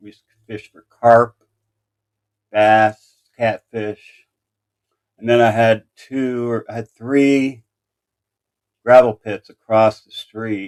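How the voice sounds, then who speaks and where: Using long, frequent pauses, a man with an American accent speaks at a very slow pace and a medium pitch. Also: dry, close sound with no echo. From Indiana, US Midwest (Anderson). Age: 60s. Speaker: true crime livestreamer. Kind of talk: casual live stream chat. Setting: live stream.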